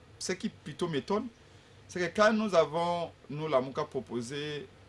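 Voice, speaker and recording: This man's fairly high, somewhat breathy voice moves at a fairly slow pace with very wide pitch swings. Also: long, frequent pauses. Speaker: opposition politician. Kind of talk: political debate. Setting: radio/TV studio. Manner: forceful, emphatic; halting with repetitions. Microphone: sitting far from the mic.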